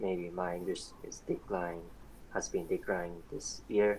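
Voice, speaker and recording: At a fairly slow pace, a man speaks in a very deep, low pitch with a Japanese accent. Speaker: student volunteer translator. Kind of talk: casual interview. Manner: halting.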